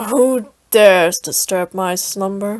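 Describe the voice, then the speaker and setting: A woman puts on a character voice at a medium pitch. She speaks at a fairly slow pace. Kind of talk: grand, archaic. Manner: booming, deadpan.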